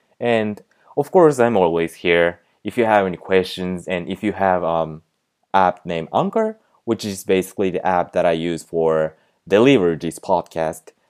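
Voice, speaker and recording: This man's voice is very deep and low, with ordinary pitch variation. He speaks at a moderate pace on a very clean recording with a silent background. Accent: Japanese. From Japan. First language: Japanese. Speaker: podcast host, language tutor. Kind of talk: casual monologue with tips. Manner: halting, many fillers.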